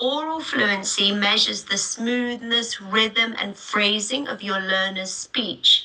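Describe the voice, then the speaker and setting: Over noticeable background noise, a woman with a British accent talks at a very slow pace with ordinary pitch variation and hardly any pauses. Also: fairly high pitch for a woman. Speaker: teacher trainer. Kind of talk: webinar. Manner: unscripted, with pauses and fillers.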